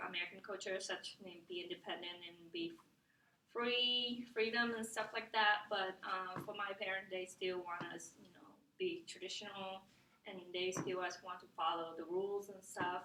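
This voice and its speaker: A woman with a Vietnamese accent speaks at a moderate pace in a medium pitch with ordinary pitch variation, over noticeable background noise. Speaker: student. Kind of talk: class presentation. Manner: halting, many fillers.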